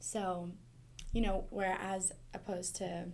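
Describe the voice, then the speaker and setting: With an American accent, a woman speaks at medium pitch, and audible room echo surrounds her. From Montana. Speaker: podcast host, university staff. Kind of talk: casual interview.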